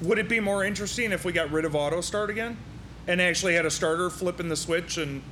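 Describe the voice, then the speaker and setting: A man with an American accent talks very fast in a high voice, with audible room echo and noticeable background noise. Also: ordinary pitch variation. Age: 40s. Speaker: podcast host. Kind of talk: casual interview. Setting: racing shop.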